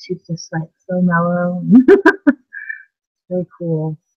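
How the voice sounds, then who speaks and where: A woman with an American accent speaks at a fairly low pitch, somewhat breathy, in a dry, close sound with no echo. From Simi Valley, California. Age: 50s. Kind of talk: interview answer. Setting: video call. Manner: casual, conversational.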